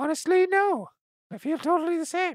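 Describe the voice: A put-on character voice, squeaky and extremely high in pitch, moves along at a moderate pace.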